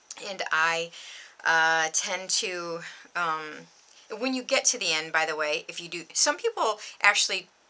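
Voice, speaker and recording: This woman talks at a fairly slow pace in a bright, sharp tone, her fairly low pitch moving with ordinary variation. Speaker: embroidery tutorial youtuber. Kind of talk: tutorial. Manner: rambling, filler-heavy.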